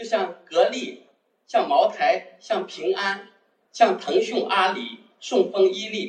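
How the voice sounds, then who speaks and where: The man's pitch rises and falls very widely. He delivers his words at a fairly slow pace. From Wenzhou, Zhejiang, China. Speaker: textile wholesaler, amateur investor. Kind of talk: personal testimony talk.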